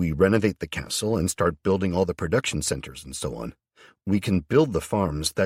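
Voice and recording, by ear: Against a quiet background, the text is read aloud in a natural voice with ordinary pitch variation.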